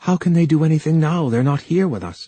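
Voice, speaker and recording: A man puts on a character voice, speaking at a fairly quick pace with a fairly high pitch and ordinary pitch variation. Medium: read story. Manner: soft-spoken.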